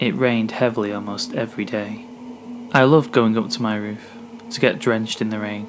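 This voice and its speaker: Against noticeable background noise, a man speaks at a medium pitch and fairly quick pace with fairly even intonation. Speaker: horror story narrator. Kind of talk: read horror story narration.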